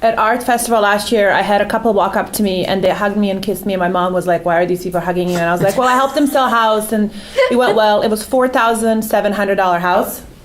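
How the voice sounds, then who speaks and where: A woman speaks at a very fast pace with hardly any pauses, her medium pitch showing ordinary variation and her loudness very even, over noticeable background noise. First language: not English. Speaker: real estate agent. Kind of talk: panel discussion. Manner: animated.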